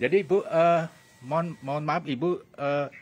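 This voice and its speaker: Speaking at a moderate pace, a man uses an unremarkable speaking voice. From Bali. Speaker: talk show host. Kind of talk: interview.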